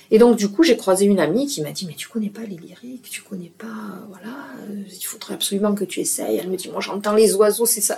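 Against noticeable background noise, a woman speaks at a fairly quick pace with hardly any pauses and big swings in loudness. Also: medium pitch for a woman, ordinary pitch variation. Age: 60s. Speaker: retired dance teacher, hearing aid ambassador. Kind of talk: interview conversation. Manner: hesitant, with repetitions.

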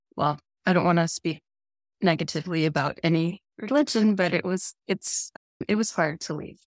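A woman's fairly low voice with ordinary pitch variation at a moderate pace, dry and close with no echo, on a very clean recording with a silent background. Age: 40s. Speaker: former church member. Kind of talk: casual chat.

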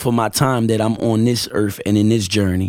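Nothing intrudes on this man's speech, as the recording is very clean and the background silent. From Camden, New Jersey, Puerto Rican family. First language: Spanish (bilingual). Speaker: rapper and guest. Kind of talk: casual chat.

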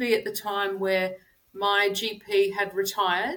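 In an Australian accent, a woman with a bright, sharp tone and medium pitch speaks at a fairly slow pace with ordinary pitch variation. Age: 50s. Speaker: personal trainer. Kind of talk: interview.

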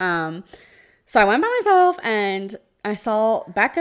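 A woman with an American accent talks with very wide pitch swings. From New Jersey. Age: 20s. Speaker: podcast co-host with chronic illness. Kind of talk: casual chat.

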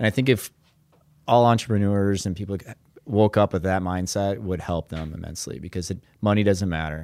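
In an Upper Midwest accent, a man talks at a fairly quick pace with a fairly low pitch and ordinary pitch variation. The recording is very clean, with a silent background. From Minnesota. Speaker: business owner. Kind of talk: casual chat.

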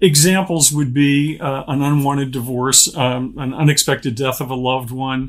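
A man with an American accent talks at a moderate pace in an ordinary speaking voice. His intonation is fairly even. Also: fairly high pitch for a man, hardly any pauses. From Pittsburgh, Pennsylvania. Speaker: author and speaker. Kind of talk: interview.

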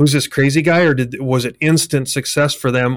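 This is an unremarkable speaking voice from a man at a medium pitch. He talks at a fairly quick pace with fairly even intonation. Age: 50s. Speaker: podcast host, construction company CEO. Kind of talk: interview conversation. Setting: video call.

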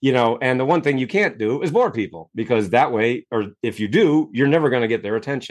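Speaking with an American accent, a man has a normal speaking voice at a medium pitch. He moves at a fairly quick pace with lively intonation and hardly any pauses. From US Northeast (Maine). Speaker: self-help author and coach. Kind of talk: interview.

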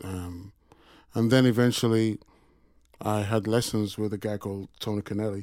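Heard in a Yorkshire accent, a man speaks at a fairly low pitch with monotone, flat intonation. He leaves long, frequent pauses. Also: moderate pace. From Sheffield, England. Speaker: session drummer. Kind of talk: interview conversation. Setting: studio.

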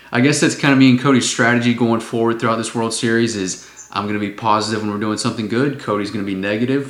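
A man at medium pitch and very fast pace, hardly any pauses, fairly even intonation, noticeable background noise, and audible room echo. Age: 20s. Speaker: sports podcast host. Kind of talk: casual chat.

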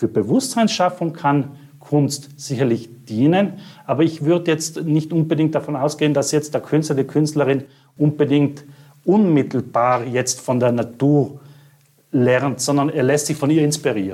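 A man's fairly high pitch and dark, mellow tone, at a moderate pace, with ordinary pitch variation and very even loudness. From South Tyrol, Italy. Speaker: art curator. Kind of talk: interview.

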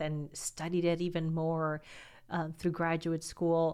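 A woman speaks in a normal speaking voice with a fairly low pitch. Her pace is fairly slow. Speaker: podcast host at a college. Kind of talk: interview conversation.

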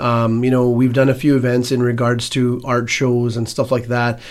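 A man speaks at a medium pitch. He has a Canadian accent. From Edmonton, Alberta, Canada. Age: 40s. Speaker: business owner and community organizer. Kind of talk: radio interview. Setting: radio studio.

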